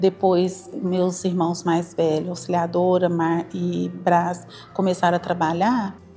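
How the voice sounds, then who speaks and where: A woman speaks very slowly at a fairly low pitch, in a monotone, flat delivery. Music plays in the background. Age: 50s. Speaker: daughter of school founder giving testimony. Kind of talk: interview testimony.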